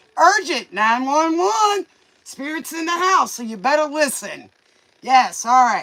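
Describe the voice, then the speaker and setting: In a raised, projected voice, the speaker goes at a fairly slow pace with very wide pitch swings. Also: man. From Louisiana. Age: 50s. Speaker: tarot reader. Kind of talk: casual tarot livestream chat. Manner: casual, rambling, many fillers.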